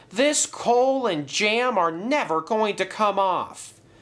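Putting on a character voice, a man speaks slowly in a high pitch with a fairly bright tone and lively intonation.

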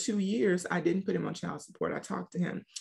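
A woman's medium-pitched, animated voice with vocal fry and ordinary pitch variation against a quiet background. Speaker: author and single-mom coach. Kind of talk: casual interview. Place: home room. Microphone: video call.

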